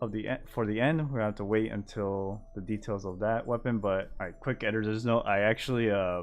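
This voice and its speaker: Music behind a man's fairly low voice at a fairly quick pace. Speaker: gaming content creator. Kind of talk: game patch notes overview. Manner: mumbling.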